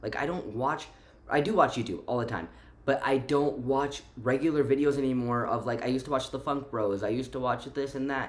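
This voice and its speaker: A man with an American accent talks at a fairly quick pace and medium pitch. Audible room echo surrounds his voice. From Romania, moved to the US at five. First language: Romanian. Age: 20s. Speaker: vlogger. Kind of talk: casual vlog monologue. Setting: at home. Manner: animated, fillers and repetitions.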